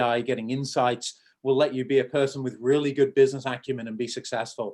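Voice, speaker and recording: A man speaks at medium pitch in a southern English accent. His intonation is monotone and flat. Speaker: tech entrepreneur. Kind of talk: Q&A after a talk. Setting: video call. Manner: fast.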